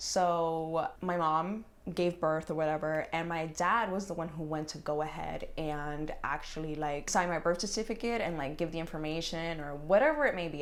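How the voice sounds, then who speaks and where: Audible room echo follows a woman talking at a fairly quick pace, her fairly low pitch moving with ordinary variation. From New York City, Bronx. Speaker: lifestyle YouTuber. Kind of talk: casual chat.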